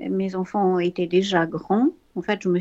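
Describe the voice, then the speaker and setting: A woman speaks in a dark, mellow tone. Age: 70s. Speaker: art foundation founder. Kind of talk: interview testimony. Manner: halting.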